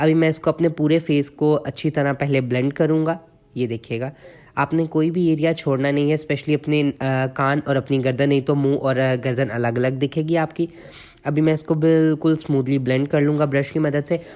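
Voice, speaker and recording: This man's voice sits fairly high in pitch and stays monotone and flat. He talks at a moderate pace. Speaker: makeup artist. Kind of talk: tutorial. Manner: casual with fillers.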